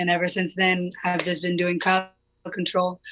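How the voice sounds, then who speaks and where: A woman's fairly quick, medium-pitched speech with monotone, flat intonation. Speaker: protest leader. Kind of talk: interview. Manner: loud.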